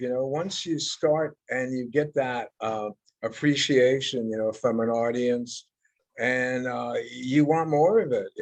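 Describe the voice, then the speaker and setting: A man with a plain, everyday voice at medium pitch, speaking at a fairly slow pace. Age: 60s. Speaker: heavy metal guitarist. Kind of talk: interview.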